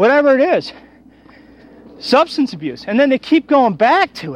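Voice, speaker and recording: The man's pitch swings very widely as he talks at a moderate pace. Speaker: radio talk show host. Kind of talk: solo monologue rant. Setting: recorded outdoors while walking a trail. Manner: loud; animated.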